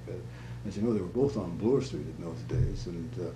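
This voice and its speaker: This man's voice sits fairly low and swings very widely in pitch, with vocal fry. Noticeable background noise runs underneath. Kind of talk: interview answer. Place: home room.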